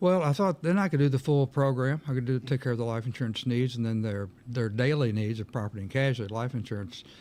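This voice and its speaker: A man talks very fast with a Kentucky accent. He barely pauses at all. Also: medium pitch for a man, ordinary pitch variation. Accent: Kentucky Southern US. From Kentucky, Meade County area. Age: 70s. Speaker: insurance agent. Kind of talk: interview. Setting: studio.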